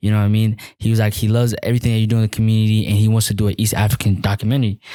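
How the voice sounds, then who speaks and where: Very fast and monotone, a man with a fairly low pitch and a dark, mellow tone keeps his loudness very even. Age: 20s. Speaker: activist and student. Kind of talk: interview.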